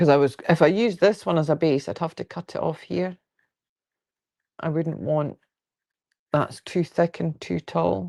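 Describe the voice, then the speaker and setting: A woman's very deep, low voice with vocal fry and a dark, mellow tone, at a moderate pace with ordinary pitch variation and long, frequent pauses, in a dry, close sound with no echo over a quiet background. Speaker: quilting livestreamer. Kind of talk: casual livestream chat. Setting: live video stream.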